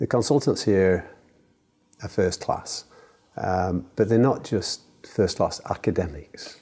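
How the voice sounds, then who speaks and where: Very deep and low, a man's dark, mellow voice moves at a very slow pace with lively intonation. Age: 70s. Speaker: cancer patient on a clinical trial. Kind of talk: interview. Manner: halting.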